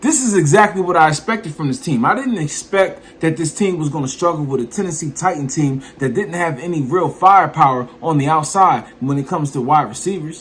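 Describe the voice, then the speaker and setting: Fairly high for a man, this voice has an animated tone, lively intonation and a fairly quick pace. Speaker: sports YouTuber. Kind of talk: sports commentary vlog. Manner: loud.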